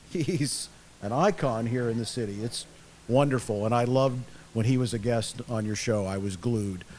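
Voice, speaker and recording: A man at medium pitch and moderate pace, an unremarkable speaking voice with ordinary pitch variation. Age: 60s. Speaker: retired stadium announcer. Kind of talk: casual interview.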